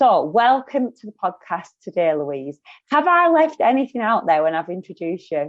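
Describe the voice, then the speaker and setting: A woman with a strong Lancashire accent at a medium pitch and moderate pace, with very wide pitch swings and big swings in loudness. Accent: broad Lancashire. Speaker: podcast host. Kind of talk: interview.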